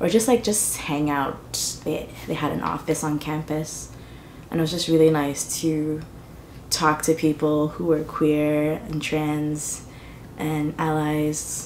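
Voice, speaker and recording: A woman's very deep, low voice at a very slow pace, with fairly even intonation and audible room echo. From Trinidad. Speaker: artist and community organizer. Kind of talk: personal testimony interview. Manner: casual, many fillers (like, um).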